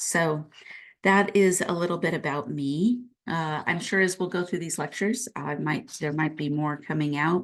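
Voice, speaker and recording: Her pitch sits fairly low and moves in an ordinary way as the woman talks. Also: quiet background. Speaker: professor. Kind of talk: lecture. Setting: home office. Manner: slow; unscripted, with fillers.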